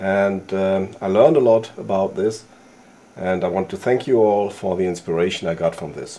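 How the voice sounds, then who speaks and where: A man speaks with a non-native accent. His pitch variation is ordinary. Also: fairly low pitch for a man, moderate pace. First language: not English. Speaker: outdoor gear YouTuber. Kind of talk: tutorial. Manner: halting.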